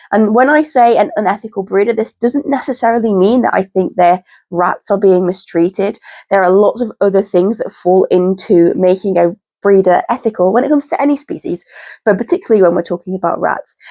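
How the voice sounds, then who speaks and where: Fairly quick and with lively intonation, a woman speaks in a British accent with a dark, mellow tone. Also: medium pitch for a woman, dry, close sound with no echo. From UK. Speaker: pet rat keeper and YouTuber. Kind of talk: informational talk to camera. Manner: casual, repetitive emphasis.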